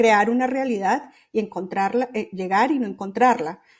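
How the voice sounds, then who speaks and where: A woman's fairly high voice at a moderate pace. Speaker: journalist and writing workshop founder. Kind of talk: podcast interview. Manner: halting, many restarts and fillers.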